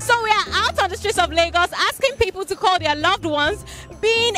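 A woman speaks in a raised, projected voice. The sound is dry with no echo, and faint music plays in the background. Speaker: street show host. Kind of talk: presenter intro. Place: street. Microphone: handheld.

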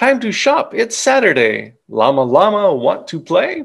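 A man with a high pitch, a fairly bright tone and a slightly husky edge speaks at a fairly slow pace, swinging very widely in pitch and showing vocal fry.

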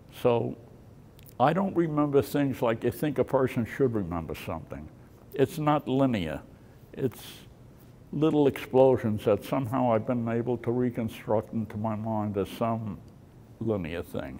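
With an American accent, a man speaks at a moderate pace in a dark, mellow tone, his intonation lively and his pauses long and frequent, over light background noise. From New York City, Brooklyn; New York City. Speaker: war veteran. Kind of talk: testimony. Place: hall. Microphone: studio mic.

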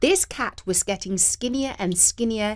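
Ordinary pitch variation in plain reading aloud

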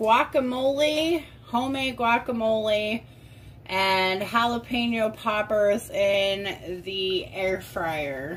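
Over light background noise, a woman speaks at a very slow pace with lively intonation. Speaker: home cooking vlogger. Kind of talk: tutorial. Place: home room. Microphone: phone near.

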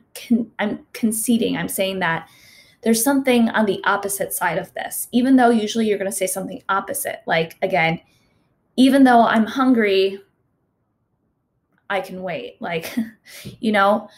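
Somewhat breathy delivery with ordinary pitch variation, long and frequent pauses, a moderate pace and big swings in loudness. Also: woman. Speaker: teacher. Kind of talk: online class teaching. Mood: warm, encouraging. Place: home room.

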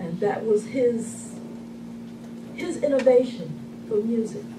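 The pitch varies in an ordinary way. Background noise is noticeable. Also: woman. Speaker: speaker. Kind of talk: eulogy. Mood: warm, reflective remembrance. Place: hall. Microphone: camera far.

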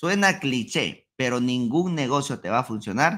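With a bright, sharp tone and very wide pitch swings, a man talks at a moderate pace against a quiet background. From Peru, Huancayo (central Andes); Peru. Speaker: ecommerce entrepreneur; podcast guest. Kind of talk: interview.

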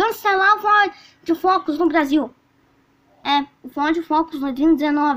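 Over a quiet background, a woman speaks at an extremely high pitch with ordinary pitch variation. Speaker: car channel host. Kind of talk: casual vlog commentary. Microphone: phone near.

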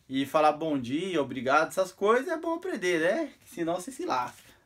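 Over light background noise, a man with a high pitch sounds animated, his voice making very wide pitch swings at a moderate pace. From Brazil. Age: 30s. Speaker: vlogger. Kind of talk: casual tutorial. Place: home room. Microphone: phone near.

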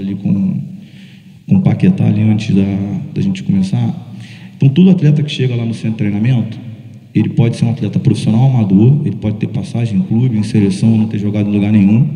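Lively in intonation, a man talks very fast at a medium pitch. There is audible room echo. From Brazil. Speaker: strength and conditioning coach; conditioning coach. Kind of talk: panel discussion. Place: stage. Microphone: handheld.

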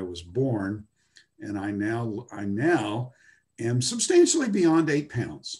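Against a quiet background, a man talks very slowly in a somewhat breathy voice. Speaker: Bible lecturer. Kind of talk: lecture. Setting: video call. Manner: halting. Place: home room. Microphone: webcam.

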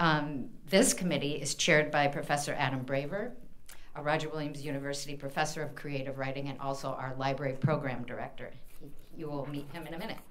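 A woman with an American accent speaks very fast in a very deep, low voice, her intonation fairly even. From US Midwest, Indiana. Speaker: university library dean. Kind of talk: event introduction. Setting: stage with audience. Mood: warm, grateful. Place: hall. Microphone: podium.

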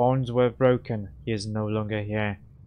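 Over clear background noise, a man puts on a raspy character voice at a medium pitch and a moderate pace. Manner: empty, flat.

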